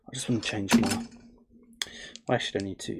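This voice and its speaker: A man's voice at medium pitch. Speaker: crypto trading streamer. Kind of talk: casual live stream chat. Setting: home live stream, family asleep. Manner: deliberately quiet, not shouting; relaxed, many fillers.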